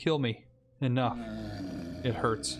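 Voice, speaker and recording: A man's croaky, put-on character voice at a medium pitch. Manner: croaking, speaking through clenched teeth.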